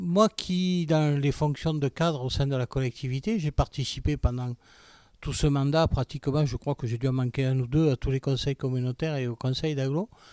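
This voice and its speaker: A man talks in an unremarkable speaking voice, fairly high in pitch with ordinary pitch variation. His moderate pace comes through on a very clean recording with a silent background. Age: 60s. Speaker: local election candidate. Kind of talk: political interview.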